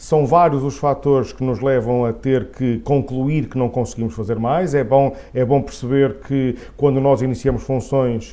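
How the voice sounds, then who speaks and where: Speaking fairly slowly with a Porto accent, a man uses fairly even intonation and a dark, mellow tone. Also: medium pitch for a man. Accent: Porto accent, noticeable. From northern Portugal, Porto. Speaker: head of a professional association. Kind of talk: interview. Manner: halting, many fillers.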